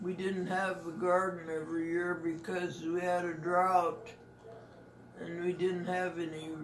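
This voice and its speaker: Against noticeable background noise and audible room echo, a woman talks fairly slowly in a flat, monotone way. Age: 80s+. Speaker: elderly grandmother. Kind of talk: family interview. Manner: halting.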